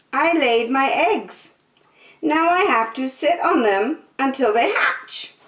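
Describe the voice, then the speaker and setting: A put-on character voice from a woman, high-pitched and at a fairly slow pace. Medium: read story.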